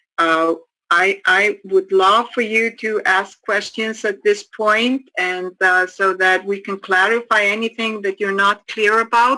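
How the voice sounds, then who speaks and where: A woman with an Icelandic accent speaks at a medium pitch in a bright, sharp tone, her intonation fairly even and hardly any pauses between words. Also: fairly slow pace. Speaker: addiction counselor trainer. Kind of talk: training course lecture. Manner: halting, many repetitions.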